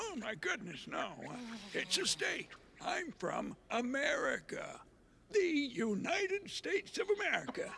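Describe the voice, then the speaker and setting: In a cartoonish character voice pitched extremely high, a man talks at a moderate pace over clear background noise. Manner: folksy, homespun.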